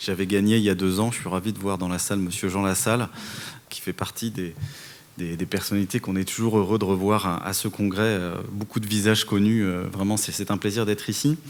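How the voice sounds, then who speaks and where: A man with a Parisian accent talks at a fairly quick pace in a fairly low pitch, with noticeable background noise behind him. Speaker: telecom regulator head. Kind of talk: conference panel speech. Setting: conference hall with audience. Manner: hesitant, many fillers and repetitions.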